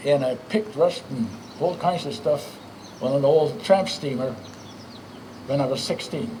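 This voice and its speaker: A man with a fairly high pitch talks at a fairly slow pace, leaving long, frequent pauses over noticeable background noise. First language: not English. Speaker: former state senator and philanthropist. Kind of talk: ceremony speech. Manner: halting.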